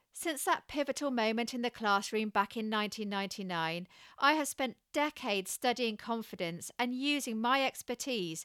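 A woman with a British accent speaks at a fairly slow pace in a fairly high pitch, her tone bright and sharp. Her intonation is lively, and the very clean recording has a silent background and a dry, close sound with no echo. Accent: regional British English. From UK. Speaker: podcast host, communication expert. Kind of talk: scripted solo podcast monologue. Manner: restrained, quiet delivery.

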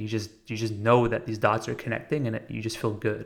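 With an American accent and fairly even intonation, the speaker uses an ordinary speaking voice in a very clean recording with a silent background. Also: man. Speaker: podcast host. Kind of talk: monologue about meditation. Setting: recorded while traveling in Italy. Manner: reflective, conversational, with filler words.

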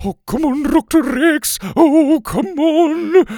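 A man puts on a character voice with an extremely high pitch and a dark, mellow tone. He goes at a slow pace with ordinary pitch variation.

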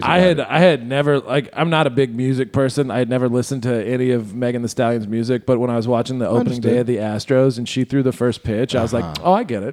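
A man talks at a very fast pace with hardly any pauses. His pitch is medium with ordinary variation, over noticeable background noise. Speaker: podcast host.

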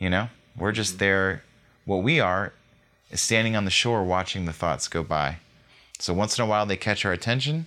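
Pausing long and often, a man with a fairly low pitch talks with ordinary pitch variation. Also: moderate pace. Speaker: meditation guide and podcast host. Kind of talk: guided meditation plus casual chat. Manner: calm, soothing, heartfelt.

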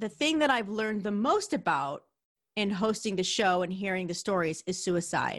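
With a New York accent, a woman talks at a moderate pace in a medium pitch. The background is quiet. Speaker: podcast host. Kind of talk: solo podcast intro; casual interview.

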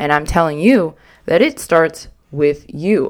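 A woman has an ordinary speaking voice, fairly low in pitch, with lively intonation at a fairly slow pace. The recording is very clean, with a silent background. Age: 20s. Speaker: podcast host. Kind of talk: solo monologue.

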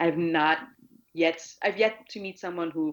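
With a German accent, a woman speaks at a fairly low pitch and fairly slow pace with fairly even intonation. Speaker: anti-hate activist. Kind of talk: casual interview. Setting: remote call across an ocean.

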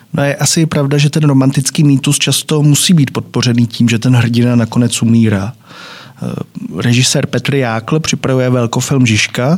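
Background noise is noticeable as a man speaks at a moderate pace and medium pitch. His intonation is fairly even, and his loudness stays very even. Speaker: podcast host. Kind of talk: moderated discussion. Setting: studio.

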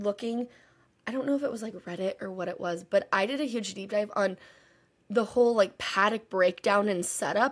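A woman talks in an unremarkable speaking voice. Her pitch is medium, with ordinary pitch variation. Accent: American. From Texas. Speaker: podcast co-host, auditor. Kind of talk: casual chat. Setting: remote recording from parents' house.

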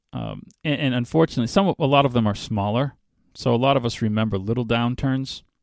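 This recording is very clean with a silent background, and the sound is dry and close with no echo. A man speaks fairly quickly in a medium pitch with ordinary pitch variation. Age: 50s. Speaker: podcast host. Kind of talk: solo spiritual commentary podcast. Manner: halting, many fillers and repeated words.

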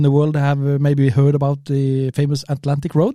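A fairly high-pitched man with a Norwegian accent. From Norway. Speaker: spearfisher podcast co-host. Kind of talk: casual chat. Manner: halting.

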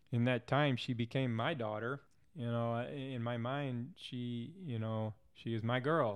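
A man with an American accent and a normal speaking voice, medium pitch, fairly even intonation and a fairly slow pace. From Missouri, St. Louis. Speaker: Air Force veteran. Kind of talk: casual interview. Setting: in person.

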